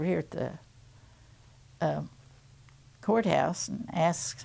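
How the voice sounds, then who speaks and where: In an American accent, a woman talks at a moderate pace with a fairly low pitch and vocal fry. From Missouri. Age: 80s+. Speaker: retired nurse and WWII cadet nurse. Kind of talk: interview answer. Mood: calm, reminiscing. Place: home room.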